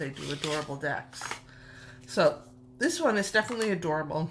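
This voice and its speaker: A woman with a slight New York accent speaks at a moderate pace, her pitch very deep and low with ordinary variation. Background noise is noticeable. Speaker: tarot youtuber. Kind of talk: casual show-and-tell video. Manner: animated, gushing.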